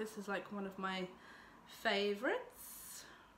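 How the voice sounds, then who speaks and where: A woman with an English accent speaks fairly slowly at a medium pitch. Noticeable background noise and audible room echo come through. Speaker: beauty vlogger. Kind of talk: makeup tutorial vlog. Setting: home filming with lights. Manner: casual, filler-heavy.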